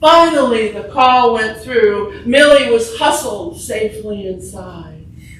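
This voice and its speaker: The speech goes at a very slow pace with very wide pitch swings. Noticeable background noise and audible room echo are present. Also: woman. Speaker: writer. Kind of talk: reading aloud. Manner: projected, stage-trained.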